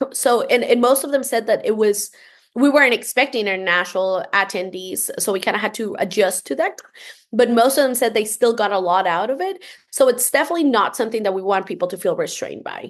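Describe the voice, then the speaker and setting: Against a quiet background, a woman with a Spanish accent talks very fast at a fairly high pitch with lively intonation. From Costa Rica. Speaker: entrepreneurship program leader. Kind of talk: podcast interview.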